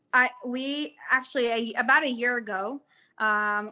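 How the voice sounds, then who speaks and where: A woman's bright, sharp, fairly high voice with an American accent. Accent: sounds American. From Israel. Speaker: tour guide. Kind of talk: guided tour Q&A. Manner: casual, hesitant with many fillers.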